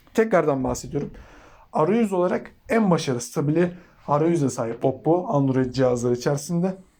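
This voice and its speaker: A dark, mellow tone moves at a fairly quick pace, with lively intonation and very even loudness. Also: man, fairly high pitch for a man. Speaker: tech YouTuber. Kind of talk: product review. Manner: fast; casual.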